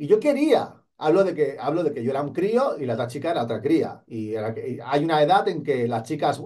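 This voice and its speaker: Against a quiet background, a man with a fairly high pitch and a dark, mellow tone talks at a moderate pace. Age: 40s. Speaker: police exam coach. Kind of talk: motivational talk to camera. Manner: animated. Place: studio. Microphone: studio mic.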